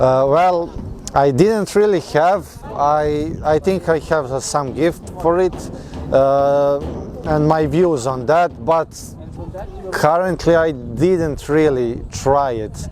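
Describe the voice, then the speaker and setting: Over noticeable background noise, a man with a fairly high pitch talks at a very slow pace with ordinary pitch variation. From Serbia. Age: 20s. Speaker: mechanical engineer. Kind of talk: interview. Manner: halting.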